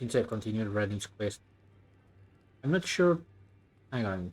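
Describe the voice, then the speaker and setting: A man with a French accent, fairly low pitch, lively intonation and a fairly slow pace. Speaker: video game streamer. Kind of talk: live gameplay commentary.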